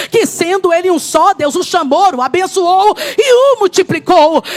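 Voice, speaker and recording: An animated woman's voice, extremely high in pitch, at a fairly slow pace with ordinary pitch variation, dry and close with no echo, over noticeable background noise. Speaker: preacher. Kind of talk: sermon.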